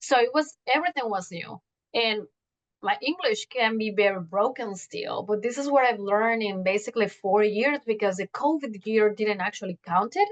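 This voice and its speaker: With a Mexican accent, a woman speaks at a moderate pace and with ordinary pitch variation. The sound is dry and close with no echo. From Mexico City. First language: Spanish. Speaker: journalist. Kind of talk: interview. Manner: halting.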